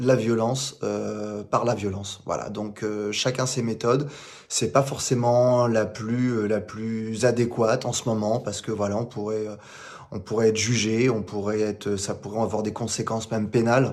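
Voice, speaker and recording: Speaking fairly slowly, a man keeps a medium pitch and a monotone, flat intonation. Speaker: former elite police officer and actor. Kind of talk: remote interview. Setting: remote call. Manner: stutter; hesitant, many fillers.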